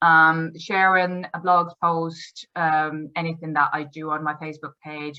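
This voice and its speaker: With a Dutch accent, a woman talks in a very deep, low pitch and a monotone, flat intonation. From Netherlands. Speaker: endurance riding coach. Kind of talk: promotional talk to camera. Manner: halting, many fillers.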